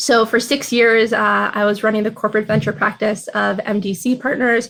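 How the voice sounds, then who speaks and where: At a moderate pace, a woman speaks in a fairly high voice with vocal fry. Her intonation is fairly even. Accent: American. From Minnesota, US Midwest. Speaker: venture capital investor. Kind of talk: interview.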